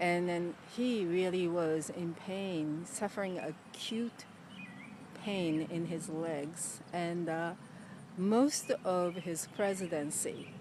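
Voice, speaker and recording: Very slow speech from a woman with a Japanese accent, fairly low in pitch, with ordinary pitch variation. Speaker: motivational video host. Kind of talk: motivational talk.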